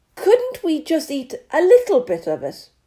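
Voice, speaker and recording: Putting on a character voice, a woman speaks in an extremely high, squeaky pitch. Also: moderate pace. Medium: read story.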